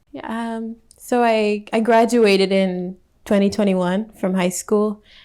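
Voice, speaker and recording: On a very clean recording with a silent background, a woman with an American accent speaks fairly slowly in a dark, mellow tone at medium pitch, her intonation fairly even. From US Midwest, Minnesota. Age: 20s. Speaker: fashion model. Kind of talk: interview. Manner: hesitant, many fillers.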